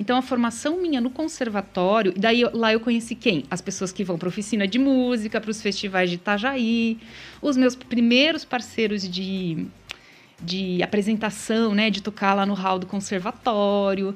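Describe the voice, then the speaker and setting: The speaker is a woman with a fairly high pitch. She talks at a moderate pace with ordinary pitch variation. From Paraná, Brazil (small town of 5,000). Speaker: singer-songwriter. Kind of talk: live radio interview. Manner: calm, soothing.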